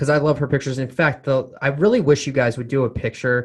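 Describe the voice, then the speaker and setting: A somewhat breathy man against a quiet background. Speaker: podcast host. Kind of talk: casual interview chat.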